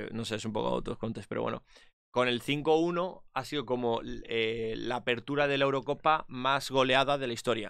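An ordinary speaking voice from a man, moderate pace, fairly even intonation, dry sound with no echo and a quiet background. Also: medium pitch for a man. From Spain. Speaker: esports commentator. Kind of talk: casual chat. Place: home room. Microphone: studio mic.

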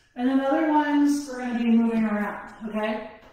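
A woman talking at a fairly quick pace amid strong room echo. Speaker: fitness instructor. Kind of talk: workout instruction. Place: home room.

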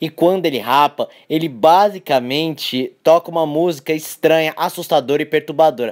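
At a moderate pace with hardly any pauses, a man in a plain, everyday voice speaks at a fairly high pitch with ordinary pitch variation, in a very clean recording with a silent background. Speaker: YouTuber. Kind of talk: scripted narration.

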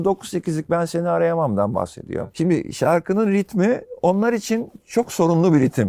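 A man at a moderate pace, lively in intonation, with a dry, close sound and no echo. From Turkey, Izmir. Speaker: rock bassist and songwriter. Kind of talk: casual interview.

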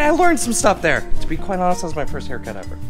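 Clear music plays in the background. The speech moves at a very fast pace. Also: man. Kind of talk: casual vlog chat. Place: home room. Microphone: phone near.

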